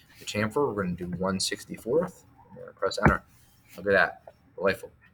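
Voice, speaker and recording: There is noticeable background noise. A man speaks at a very fast pace. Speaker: teacher. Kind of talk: tutorial.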